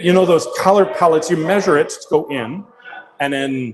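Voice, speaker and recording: This man has a Canadian accent and a normal speaking voice. His pitch is fairly high, with ordinary pitch variation, at a moderate pace. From Canada. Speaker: 3D printing company presenter. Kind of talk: live stream showroom chat. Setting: company showroom, live stream.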